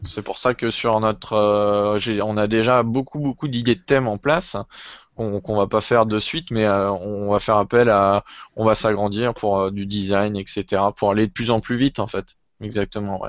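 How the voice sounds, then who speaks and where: With an ordinary speaking voice, a man talks at a moderate pace at a fairly low pitch with fairly even intonation. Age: 20s. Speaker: web developer. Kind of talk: casual chat.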